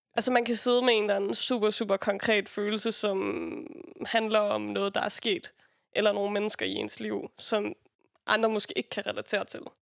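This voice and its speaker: At a moderate pace, the speaker keeps a fairly even intonation, and the sound is dry and close with no echo. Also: woman. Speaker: rapper. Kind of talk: casual chat.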